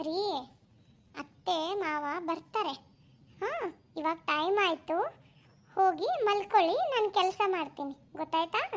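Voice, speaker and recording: Using a cartoonish character voice at an extremely high pitch, a woman talks at a fairly slow pace with ordinary pitch variation. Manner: sarcastic.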